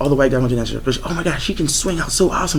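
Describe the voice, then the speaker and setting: Speaking at a very fast pace with a fairly high pitch, a man is heard through audible room echo and noticeable background noise. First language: not English. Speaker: swing dancer. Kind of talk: group discussion.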